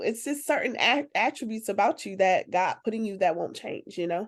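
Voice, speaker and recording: A woman speaks loudly in an animated tone. The background is quiet. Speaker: talk show host. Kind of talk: casual group discussion.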